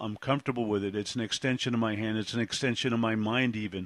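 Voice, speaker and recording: Against a quiet background, a man with a New York accent speaks at medium pitch, the sound dry and close with no echo. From Brooklyn, New York. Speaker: podcast host. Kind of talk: casual interview. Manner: halting, with many fillers.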